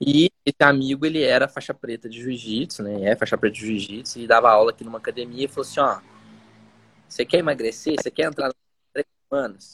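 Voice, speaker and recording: Very fast delivery with big swings in loudness, in a dry, close sound with no echo. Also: man, medium pitch for a man, ordinary pitch variation. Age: 30s. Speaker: business school executive and educator. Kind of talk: live interview chat.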